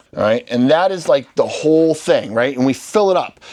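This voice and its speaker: A man speaks in an American accent. His pitch is fairly high. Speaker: real estate investing instructor.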